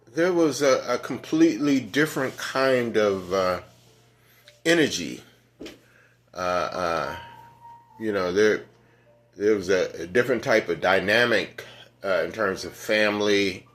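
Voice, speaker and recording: Over music in the background, a man with an American accent speaks at a fairly slow pace with long, frequent pauses. His pitch is fairly low and his intonation lively. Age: 70s. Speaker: elder sharing reflections. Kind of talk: casual monologue. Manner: halting, many fillers.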